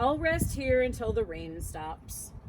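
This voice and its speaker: A female-sounding, put-on character voice moves at a fairly slow pace over clear background noise. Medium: read story.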